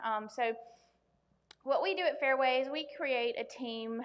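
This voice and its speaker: A woman with a Southern US accent talks with fairly even intonation. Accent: US South. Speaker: loan officer. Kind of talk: workshop presentation. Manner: loud; many filler ums.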